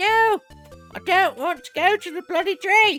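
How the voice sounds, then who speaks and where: Faint music plays behind a put-on character voice pitched extremely high and delivered at a moderate pace. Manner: stupid, dismissive, impatient.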